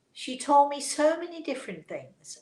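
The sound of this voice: A woman speaks at a high pitch with a dark, mellow tone and big pitch swings, and the room echo can be heard. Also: moderate pace.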